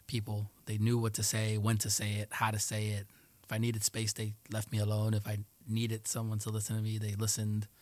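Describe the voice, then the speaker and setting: In a very clean recording with a silent background, a man talks at a fairly quick pace in a fairly low pitch with monotone, flat intonation. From New York City, Queens (Jackson Heights), part of childhood in Colombia. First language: Spanish. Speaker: Air Force aircraft maintainer. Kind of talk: casual interview.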